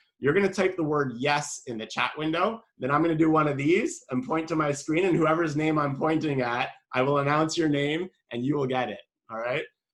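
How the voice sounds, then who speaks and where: A man with a Canadian accent talks at a fairly quick pace in a normal speaking voice, his pitch fairly high for a man and his pitch variation ordinary. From Canada. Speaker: marketing specialist. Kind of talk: webinar presentation. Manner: casual, chatty.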